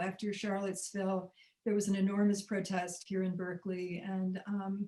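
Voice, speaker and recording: Monotone, flat intonation in an American accent. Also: woman. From US South, Birmingham, Alabama. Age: 70s. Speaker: documentary filmmaker and activist. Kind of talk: interview. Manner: halting, many fillers.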